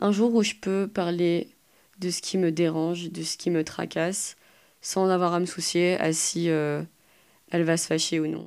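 Speaking at a fairly slow pace, a woman uses a fairly low pitch and monotone, flat intonation. Long, frequent pauses mark her delivery. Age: 20s. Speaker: young woman sharing personal story. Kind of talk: personal testimony.

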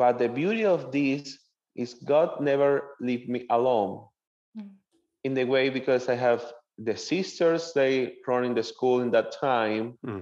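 A man with a Venezuelan accent, medium in pitch, with ordinary pitch variation and a fairly slow pace. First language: Spanish. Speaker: seminarian. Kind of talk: interview.

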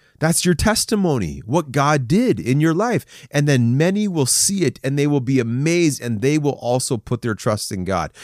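An animated man at a moderate pace with lively intonation, in a dry, close sound with no echo on a very clean recording with a silent background. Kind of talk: sermon-style encouragement talk to men. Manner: animated, exhortative.

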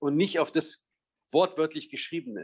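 Here a man talks at a moderate pace. His pitch sits fairly high. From Bavaria, Munich. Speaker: journalist and Middle East correspondent. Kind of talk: interview.

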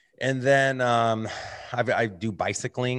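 A man speaks against a quiet background. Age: 30s. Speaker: real estate entrepreneur. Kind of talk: podcast interview. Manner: animated.

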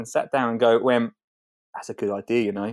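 A man talks at a very fast pace in an Essex accent. The recording is very clean with a silent background and a dry, close sound with no echo. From Colchester, Essex, England. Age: 30s. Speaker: gardener, TV presenter. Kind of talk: casual interview. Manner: animated.

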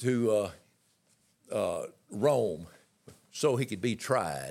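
A man speaks at a medium pitch with lively intonation. The recording is very clean, with a silent background. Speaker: Pentecostal minister and author. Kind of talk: sermon-style teaching. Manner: halting, stammering.

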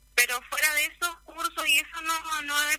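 Over noticeable background noise, a woman with a high pitch and fairly even intonation projects her raised voice at a moderate pace. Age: 20s. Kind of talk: radio interview.

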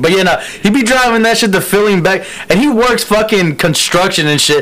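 Against noticeable background noise, a man talks at a high pitch with ordinary pitch variation. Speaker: podcast co-host. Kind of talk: casual banter podcast.

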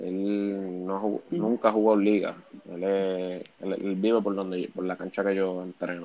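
At a fairly slow pace, a man talks in an ordinary speaking voice. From Puerto Rico (Bayamón). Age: 20s. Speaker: basketball coach. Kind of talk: casual chat.

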